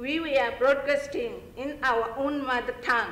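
A woman's high-pitched voice in audible room echo. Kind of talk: prepared speech. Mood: earnest, measured appeal. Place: hall. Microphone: podium.

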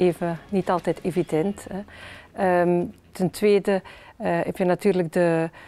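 A woman is talking. Faint music plays behind her. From Flanders, Belgium. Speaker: politician, member of the Flemish Parliament. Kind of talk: interview answer. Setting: parliament interview video. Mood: warm, smiling, encouraging. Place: hall. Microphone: lapel.

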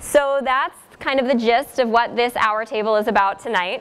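High in pitch, a woman's voice moves with ordinary pitch variation. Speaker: panel moderator. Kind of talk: event introduction. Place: hall.

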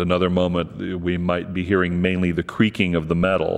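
This man's pitch is very deep and low. He speaks at a moderate pace. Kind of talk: interview answer.

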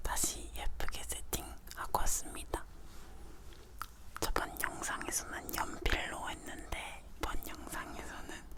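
Someone whispers at a very slow pace. Background noise is noticeable throughout. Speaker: ASMR creator. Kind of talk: whispered ASMR talking. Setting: pin microphone close-up.

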